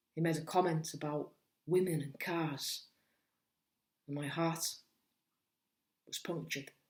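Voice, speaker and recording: With a Cumbrian accent, a woman talks at a fairly slow pace in a very deep, low pitch and a monotone, flat intonation. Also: long, frequent pauses. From Cumbria, England. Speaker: spoken word poet. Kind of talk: spoken word poetry performance.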